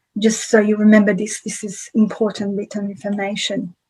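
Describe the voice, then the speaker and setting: In a somewhat breathy voice, a woman talks at a fairly high pitch. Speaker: psychologist presenting a webinar. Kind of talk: webinar lecture. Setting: live webinar. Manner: hesitant, many fillers.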